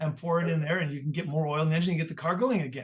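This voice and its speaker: Speaking in an ordinary speaking voice, a man with a fairly high pitch shows ordinary pitch variation. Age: 60s. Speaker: podcast host. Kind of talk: casual chat.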